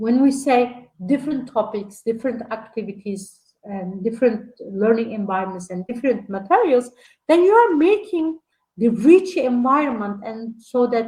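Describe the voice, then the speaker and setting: A woman's fairly high, somewhat breathy voice in a dark, mellow tone, with lively intonation at a fairly slow pace. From Turkey. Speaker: lecturer on early childhood education. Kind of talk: online lecture. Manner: halting, many fillers.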